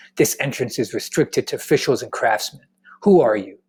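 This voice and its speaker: Gruff and fairly quick, the speaker uses a put-on character voice. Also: man. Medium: read story. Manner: gruff, suspicious.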